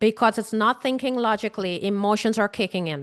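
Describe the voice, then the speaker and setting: With a Caribbean accent, a woman talks in an animated tone at a moderate pace with ordinary pitch variation, recorded with a dry, close sound, no echo and a quiet background. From Guyana. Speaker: grief coach. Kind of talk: webinar talk.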